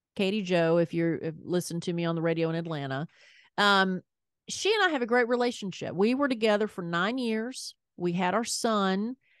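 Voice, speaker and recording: A woman with a strong Southern US accent, medium pitch, and lively intonation at a fairly quick pace over a quiet background. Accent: thick Southern US. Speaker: podcast host, former radio host. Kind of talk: casual chat.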